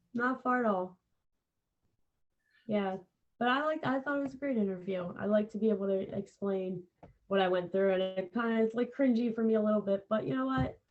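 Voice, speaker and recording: With an American accent and lively intonation, a woman of medium pitch talks at a fairly quick pace but leaves long, frequent pauses. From Philadelphia, US. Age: 30s. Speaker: podcaster in recovery from addiction. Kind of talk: interview.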